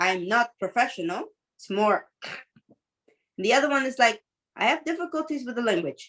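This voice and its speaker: A woman with a high pitch swings very widely in pitch and loudness, pausing long and often. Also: moderate pace. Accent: non-native. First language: not English. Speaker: teacher and mentor. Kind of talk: coaching conversation.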